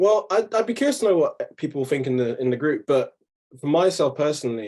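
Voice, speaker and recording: A man talks at a fairly quick pace in a London accent. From south London. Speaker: freelance graphic designer. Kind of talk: casual webinar talk. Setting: video call. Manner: relaxed, many fillers.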